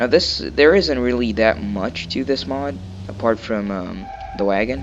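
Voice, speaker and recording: Amid noticeable background noise, a man speaks at a very slow pace with long, frequent pauses, using a fairly low pitch and lively intonation. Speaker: gaming video creator. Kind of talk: casual gameplay commentary. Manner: hesitant, many filler words.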